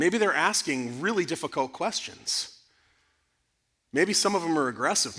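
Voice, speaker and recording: Loud and animated, a man talks at a fairly quick pace with a fairly high pitch, a bright, sharp tone and lively intonation on a very clean recording with a silent background. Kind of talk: conference talk to parents. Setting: church conference with audience.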